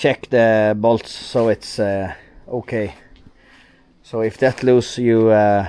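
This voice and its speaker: With a Norwegian accent, a man talks at a very slow pace in a dark, mellow tone, his intonation monotone and flat, with long, frequent pauses. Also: medium pitch for a man. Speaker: truck owner and vlogger. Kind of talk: casual vlog narration. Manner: halting.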